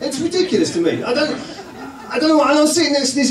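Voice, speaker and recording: Noticeable background noise fills the recording. The man's voice carries audible room echo. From England. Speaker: comedian. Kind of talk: stand-up. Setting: stage with audience. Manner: animated.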